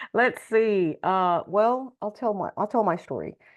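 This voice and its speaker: A plain, everyday voice with an American accent moves at a moderate pace with ordinary pitch variation. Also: woman. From Texas. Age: 60s. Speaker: nonprofit leader. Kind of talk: testimony.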